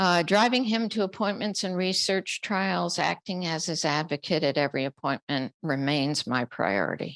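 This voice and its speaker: A woman with an American accent speaks at a fairly slow pace in a fairly low voice with vocal fry and very wide pitch swings, recorded dry and close with no echo. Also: quiet background. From Upstate New York. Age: 70s. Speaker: family caregiver. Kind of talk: panel talk.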